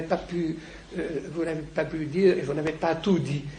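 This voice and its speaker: A man's fairly high voice with fairly even intonation, audible room echo and noticeable background noise. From Lebanon. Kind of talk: lecture. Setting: conference with audience. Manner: halting.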